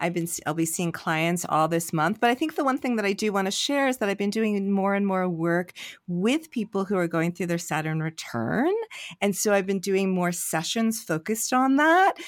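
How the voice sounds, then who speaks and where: A woman with an unremarkable speaking voice talks at a moderate pace and a medium pitch, with lively intonation. Her loudness stays very even in a very clean recording with a silent background. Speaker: podcast host. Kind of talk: casual chat. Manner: laughs often, easygoing.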